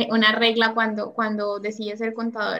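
This woman speaks with a fairly high pitch. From Colombia. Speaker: podcast host, accountant. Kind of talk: casual interview chat.

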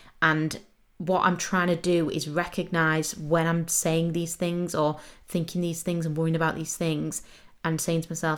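With an English accent, a woman speaks fairly slowly at a fairly low pitch in a monotone, flat intonation. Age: 20s. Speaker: podcast host. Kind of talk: casual monologue.

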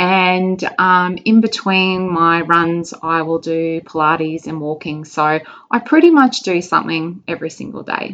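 With an Australian accent, a woman talks at a fairly slow pace, her fairly low pitch kept in fairly even intonation. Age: 40s. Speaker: nutrition client and marathon runner. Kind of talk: casual interview. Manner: hesitant, many fillers.

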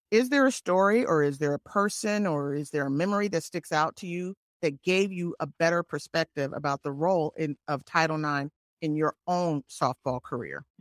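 Very deep, low female voice, moderate pace and ordinary pitch variation, dry and close with no echo, very clean recording with a silent background. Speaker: podcast co-host, former Olympic athlete. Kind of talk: interview. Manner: halting.

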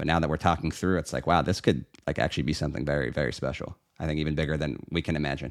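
A man talks at a very fast pace in an American accent, with a very deep, low pitch and vocal fry. The recording is very clean, with a silent background. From Pittsburgh, Pennsylvania. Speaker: estate planning lawyer. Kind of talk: casual chat.

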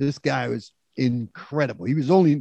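A man with a New York accent, fairly high in pitch, with ordinary pitch variation. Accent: New York (Bronx). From New York City, South Bronx. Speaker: disco singer and producer. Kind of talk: storytelling interview.

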